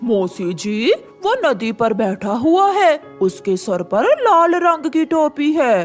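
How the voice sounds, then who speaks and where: A cartoonish character voice over faint music in the background. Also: fairly slow pace. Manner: angry, spiteful.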